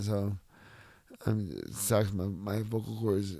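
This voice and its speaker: With an American accent and a fairly low pitch, a man speaks at a very slow pace amid audible room echo. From Southern California. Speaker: mixed martial artist. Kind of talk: casual interview. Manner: halting, repetitive.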